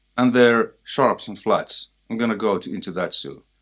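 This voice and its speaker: In a Finnish accent, the speaker keeps a moderate pace over a quiet background. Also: man. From Finland. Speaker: guitarist and music teacher. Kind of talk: tutorial. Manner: casual, halting.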